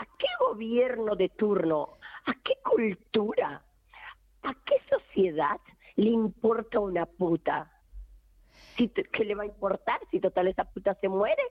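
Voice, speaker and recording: A woman at a very slow pace and fairly high pitch, with ordinary pitch variation and long, frequent pauses. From rural Argentina. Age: 50s. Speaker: feminist activist. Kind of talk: testimony. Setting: phone call.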